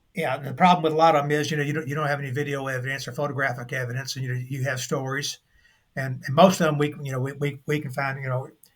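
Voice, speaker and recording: A man's fairly high, somewhat breathy voice, very fast pace and monotone, flat intonation. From Kentucky. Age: 60s. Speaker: UFO investigator. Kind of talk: interview. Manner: halting.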